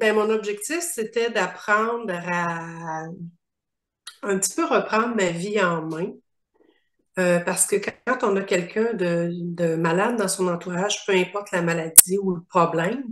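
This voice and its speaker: A woman speaks at a very slow pace with a medium pitch. Her pitch varies in an ordinary way. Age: 60s. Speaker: coaching client. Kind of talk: interview testimony.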